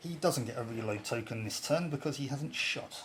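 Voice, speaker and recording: A man talks at a fairly slow pace with lively intonation. His voice is fairly high and somewhat breathy. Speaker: tabletop game player. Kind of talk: casual game playthrough narration.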